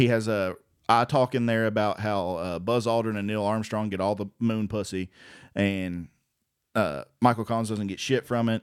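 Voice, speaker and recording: On a very clean recording with a silent background, a man has an unremarkable speaking voice, fairly low pitch, and fairly even intonation. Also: moderate pace. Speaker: open mic comedian and podcast co-host. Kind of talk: casual chat.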